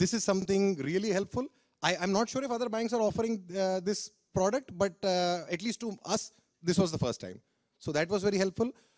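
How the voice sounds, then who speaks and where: Against a quiet background, a man with a high voice talks at a fairly quick pace. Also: ordinary pitch variation. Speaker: speaker. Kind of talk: testimonial talk to audience. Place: stage. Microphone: handheld.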